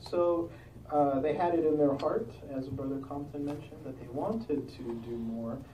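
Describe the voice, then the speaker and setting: A man's voice over noticeable background noise. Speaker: congregation meeting part conductor. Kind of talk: religious discussion leading.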